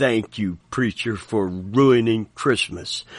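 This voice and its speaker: A man growls through a put-on character voice. He keeps a medium pitch and a very slow pace. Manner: bitter, sarcastic.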